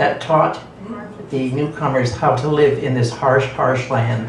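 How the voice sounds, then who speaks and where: The speaker has a Canadian accent and ordinary pitch variation. Audible room echo and noticeable background noise are present. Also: man. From southern Alberta, Canada. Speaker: Métis elder and mentor. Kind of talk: storytelling talk to audience. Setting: coffeehouse event with audience.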